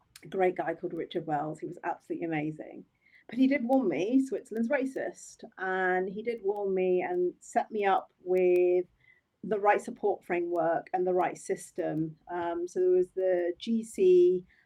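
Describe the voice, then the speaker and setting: Using a dark, mellow tone, a woman talks at a moderate pace in a medium pitch with ordinary pitch variation. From England, Oxford. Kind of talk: interview.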